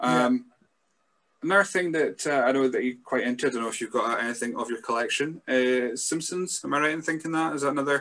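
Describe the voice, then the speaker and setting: A very fast delivery with a Scottish accent, a bright, sharp tone and ordinary pitch variation. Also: man, fairly high pitch for a man. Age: 30s. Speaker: wrestling podcast host. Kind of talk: casual chat.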